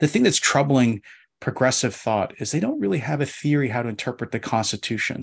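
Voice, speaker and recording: A man with an American accent speaks at medium pitch, somewhat breathy, over a quiet background. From US Northeast, Philadelphia. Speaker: law professor. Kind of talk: casual interview discussion.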